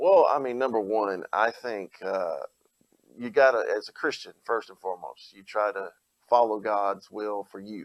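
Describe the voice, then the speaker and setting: A man with an Alabama accent speaks with big swings in loudness. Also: moderate pace. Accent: Southern US (Alabama). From Alabama, Opelika-Auburn area. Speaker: pastor and gubernatorial candidate. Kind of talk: interview.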